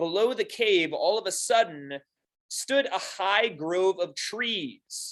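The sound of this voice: Quiet surroundings and an unforced reading voice.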